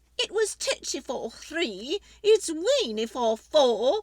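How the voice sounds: A woman's put-on character voice, high-pitched and slow, with a slightly mellow tone and big pitch swings.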